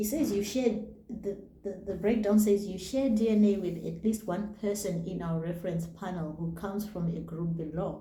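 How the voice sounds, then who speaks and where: Against noticeable background noise and audible room echo, a woman with a Zimbabwean accent speaks at a medium pitch with ordinary pitch variation. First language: Shona. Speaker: YouTuber. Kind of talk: casual vlog talk. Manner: halting, reads names slowly.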